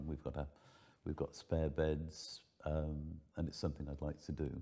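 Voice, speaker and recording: Moderate pace and a dark, mellow tone against a quiet background. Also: man. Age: 70s. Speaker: foster carer. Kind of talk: casual chat. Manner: halting. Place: home room.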